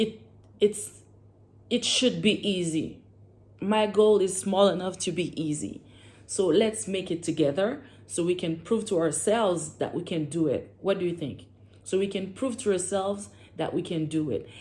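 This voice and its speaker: A woman talks at a medium pitch with a French accent. Her pitch variation is ordinary. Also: moderate pace. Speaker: vlogger. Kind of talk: casual vlog monologue. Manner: halting at times, searching for words.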